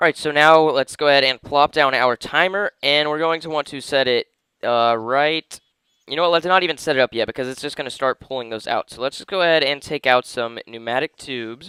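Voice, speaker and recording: A man speaks at a fairly quick pace in a fairly high voice, with a bright, sharp tone and big swings in loudness, recorded dry and close with no echo. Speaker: gaming video creator. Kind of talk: gameplay commentary. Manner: casual.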